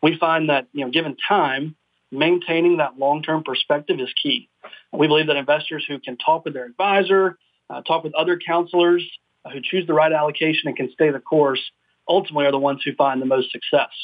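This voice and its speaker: Fairly high in pitch, a man talks at a fairly quick pace. He has a normal speaking voice with fairly even intonation. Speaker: investment company executive. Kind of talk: radio interview.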